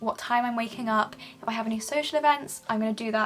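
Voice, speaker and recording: With noticeable background noise, a woman in a Southern English accent speaks fairly quickly at a fairly high pitch. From England. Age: 20s. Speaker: music student. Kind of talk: casual talk to camera.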